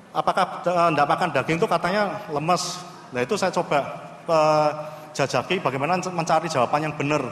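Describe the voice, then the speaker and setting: A man speaks at a very fast pace with fairly even intonation. Light background noise and audible room echo are present. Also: fairly high pitch for a man. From Indonesia. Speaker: naval physician; conference presenter. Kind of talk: conference presentation. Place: hall.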